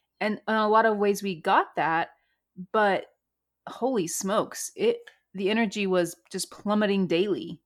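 On a very clean recording with a silent background, a woman uses an ordinary speaking voice. Her pitch is medium, with ordinary variation. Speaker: podcast co-host. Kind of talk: casual chat.

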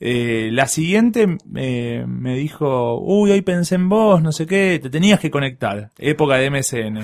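Over noticeable background noise, a man with a fairly high pitch talks very slowly, his pitch swinging very widely. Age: 30s. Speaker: podcast guest. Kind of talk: casual chat.

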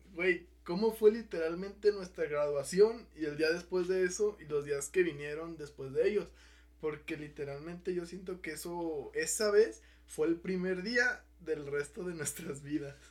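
A man with a high pitch and ordinary pitch variation talks at a fairly slow pace. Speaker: podcast host. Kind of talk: casual chat.

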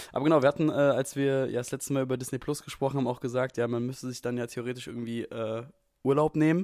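Very rapid speech from a man, his intonation fairly level. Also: medium pitch for a man. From Frankfurt, Hesse. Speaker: podcast co-host. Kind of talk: casual chat. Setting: video call from home.

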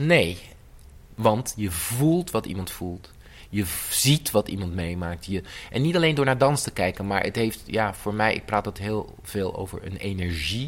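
This man has an ordinary speaking voice with fairly low pitch. He speaks at a fairly slow pace with lively intonation. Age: 50s. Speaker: choreographer. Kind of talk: interview.

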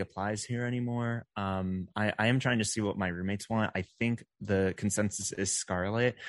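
A man's ordinary speaking voice, fairly low in pitch with fairly even intonation, at a moderate pace with hardly any pauses, dry and close with no echo against a quiet background. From Texas, Dallas-Fort Worth area. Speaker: live streamer. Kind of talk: casual interview.

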